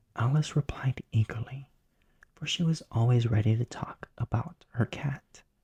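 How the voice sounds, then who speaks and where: The soft-spoken voice whispers at a moderate pace. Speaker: bedtime story narrator. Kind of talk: sleep story, audiobook-style reading. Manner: soft-spoken, whispery.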